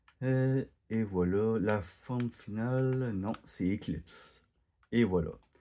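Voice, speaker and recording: In a Quebec accent, a man speaks at a very slow pace with a medium pitch. His tone is dark and mellow, with ordinary pitch variation. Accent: Quebec French, unlike French from France. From Quebec, Canada. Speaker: gaming YouTuber. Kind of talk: gameplay commentary. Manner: halting, many hesitations.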